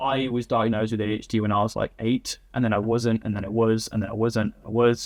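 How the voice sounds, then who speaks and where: With an English accent, a man at a medium pitch rattles along at a very fast pace in a monotone, flat way with hardly any pauses. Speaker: agency founder. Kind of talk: interview.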